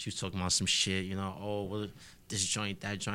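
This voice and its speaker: A man's very fast speech in a New York accent, fairly low in pitch, with a bright, sharp tone. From Harlem, New York City. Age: 20s. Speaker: rapper and audio engineer. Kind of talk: casual interview chat.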